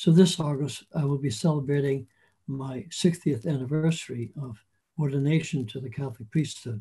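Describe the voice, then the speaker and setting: Somewhat breathy, this man's voice has a dark, mellow tone and a fairly high pitch. He talks at a moderate pace. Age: 80s+. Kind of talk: interview conversation. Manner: measured, with frequent restarts and hesitations.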